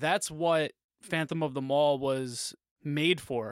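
In a very clean recording with a silent background, a man with a plain, everyday voice speaks at a fairly high pitch with fairly even intonation. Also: dry, close sound with no echo. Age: 30s. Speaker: podcast co-host. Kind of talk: casual chat.

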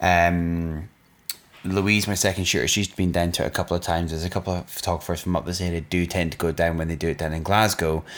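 Very deep and low, a man's voice races at a very fast pace in a monotone, flat intonation. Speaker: podcast co-host, wedding photographer. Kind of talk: casual chat.

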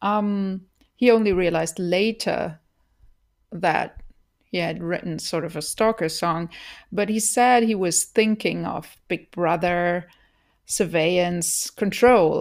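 A woman speaks very slowly with a German accent, her pitch fairly low and its variation ordinary. The recording is very clean, with a silent background. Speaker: podcaster. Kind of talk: solo podcast commentary. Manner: hesitant, many filler words.

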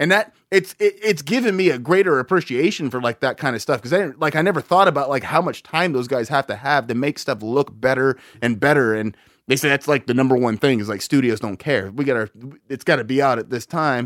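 A man's unremarkable speaking voice at medium pitch, fairly quick pace and lively intonation, with a dry, close sound with no echo and a very clean recording over a silent background. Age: 30s. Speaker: podcast co-host. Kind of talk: casual chat.

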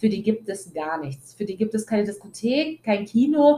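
A woman speaks at a fairly high pitch in an animated tone. Her voice is somewhat breathy. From Germany, Italian family. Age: 20s. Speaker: podcast host. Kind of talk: personal monologue.

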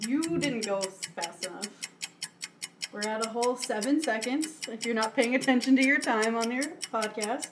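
A woman speaks at a moderate pace in a fairly high voice with ordinary pitch variation. Background noise is noticeable. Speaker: bartender guest. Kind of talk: casual chat. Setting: in a house.

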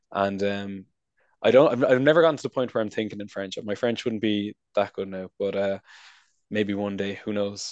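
With a dry, close sound with no echo and a quiet background, a man with an American accent speaks at a moderate pace and fairly low pitch with ordinary pitch variation. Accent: Irish with a slight American-sounding twang. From Ireland, County Wicklow. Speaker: recent graduate working in trade promotion abroad. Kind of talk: casual interview chat.

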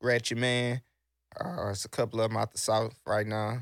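A man with an American accent, an ordinary speaking voice, medium pitch, fairly even intonation and moderate pace, on a very clean recording with a silent background. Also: dry, close sound with no echo. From Texas. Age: 30s. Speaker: internet radio host. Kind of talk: casual chat.

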